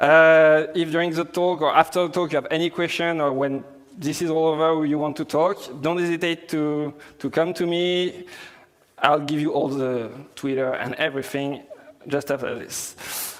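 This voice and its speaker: With a strong French accent, a man talks at a moderate pace with fairly even intonation. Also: fairly high pitch for a man. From France. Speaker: software developer, conference speaker. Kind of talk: tech conference talk. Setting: stage with audience. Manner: hesitant, many fillers.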